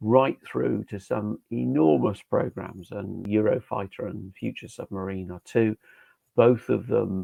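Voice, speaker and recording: Lively intonation from a man with a British accent, at a fairly slow pace with big swings in loudness. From UK. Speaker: safety engineering trainer. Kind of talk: webinar lecture. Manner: hesitant fillers.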